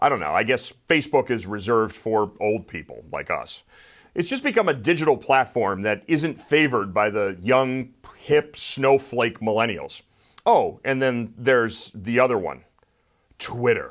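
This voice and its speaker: This is a plain, everyday voice from a man at medium pitch, with ordinary pitch variation. He keeps a moderate pace over a quiet background. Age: 40s. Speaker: political commentary show host. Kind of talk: opinion commentary monologue.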